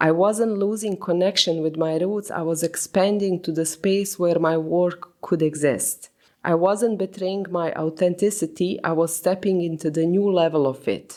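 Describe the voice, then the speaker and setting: A woman's fairly low, dark, mellow voice with a non-native accent, fairly even intonation, a moderate pace and hardly any pauses. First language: not English. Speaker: podcast host. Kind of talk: reflective solo podcast monologue.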